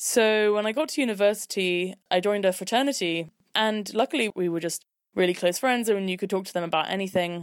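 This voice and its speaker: Speaking with a London accent, a woman talks at a fairly quick pace at medium pitch with ordinary variation. The recording is very clean, with a silent background. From London, England. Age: 20s. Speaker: podcast host. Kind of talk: personal storytelling monologue.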